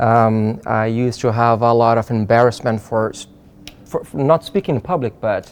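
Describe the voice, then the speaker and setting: In a Portuguese accent, a man talks at a medium pitch. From Brazil. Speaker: psychiatrist. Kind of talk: interview. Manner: halting.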